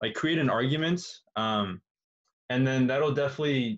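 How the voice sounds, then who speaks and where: A man speaks at a moderate pace, and his intonation is lively. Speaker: tutor. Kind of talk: tutorial. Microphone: webcam.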